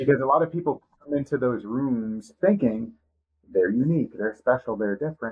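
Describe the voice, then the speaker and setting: This man has a normal speaking voice and an American accent. He talks at a fairly quick pace with a medium pitch and lively intonation. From US Northeast, Boston. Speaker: podcast co-host in recovery. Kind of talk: podcast interview.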